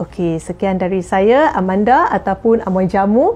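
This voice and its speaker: Speech moves very slowly. The pitch rises and falls as usual. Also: woman. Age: 40s. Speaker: jamu herbal practitioner. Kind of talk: tips sharing to camera. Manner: halting, many fillers. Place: home room.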